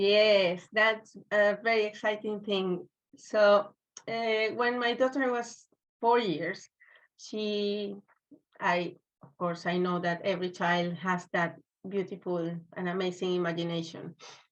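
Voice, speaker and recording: A woman with a Spanish accent, medium in pitch, very slow, with fairly even intonation and big swings in loudness. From Venezuela, Maracaibo. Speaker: children's book author. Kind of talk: interview. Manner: halting.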